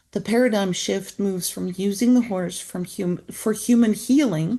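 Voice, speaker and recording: Somewhat breathy and dark, mellow in tone, a woman with a non-native accent speaks at medium pitch with ordinary variation and a moderate pace against a quiet background. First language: not English. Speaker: author and equine-assisted therapy practitioner. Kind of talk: book introduction talk. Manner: halting.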